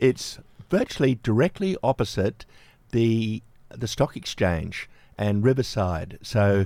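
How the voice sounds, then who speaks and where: Dark and mellow in tone, a man with an Australian accent speaks at a medium pitch. His intonation is lively, and the recording is very clean with a silent background. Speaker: community radio presenter. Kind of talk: radio interview and news coverage.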